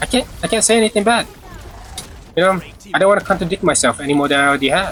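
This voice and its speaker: Lively intonation carries a very fast pace here. The loudness stays very even over noticeable background noise. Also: man, high pitch for a man. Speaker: gaming streamer. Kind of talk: casual livestream chat. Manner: casual, halting with repeats.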